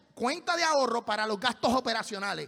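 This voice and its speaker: A raised, projected voice comes through with lively intonation. The background is quiet. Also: man. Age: 40s. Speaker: pastor. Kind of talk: sermon. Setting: church. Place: church. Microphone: handheld.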